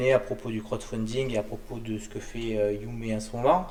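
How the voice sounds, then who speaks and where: A man is speaking at a moderate pace. Background noise is noticeable. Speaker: show host. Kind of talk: interview. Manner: stammering.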